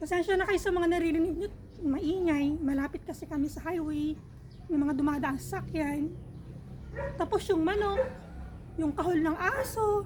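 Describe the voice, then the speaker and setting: Her pitch extremely high, a woman talks at a moderate pace broken by long, frequent pauses. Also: ordinary pitch variation. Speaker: vlogger. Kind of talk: casual vlog chat. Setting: outdoors in backyard garden.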